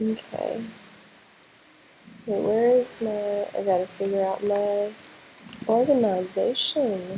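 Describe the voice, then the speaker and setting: The speech is very slow with fairly even intonation, long, frequent pauses and noticeable background noise. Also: woman, medium pitch for a woman. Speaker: NFT livestream host. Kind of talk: casual livestream chat. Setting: livestream.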